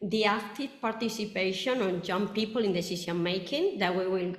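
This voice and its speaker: Someone speaks at a moderate pace with fairly even intonation, and audible room echo is present. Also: woman. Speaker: roundtable moderator. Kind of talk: webinar moderation. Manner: halting.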